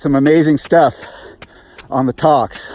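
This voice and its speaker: A man's fairly high voice at a moderate pace, dry and close with no echo, against noticeable background noise. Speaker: flamenco guitarist and vlogger. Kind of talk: casual vlog monologue while running. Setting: outdoors on a muddy trail, running.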